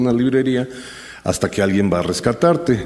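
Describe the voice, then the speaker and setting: A man speaks at a fairly quick pace with ordinary pitch variation. Noticeable background noise runs behind him. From Mexico City. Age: 60s. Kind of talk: personal storytelling talk.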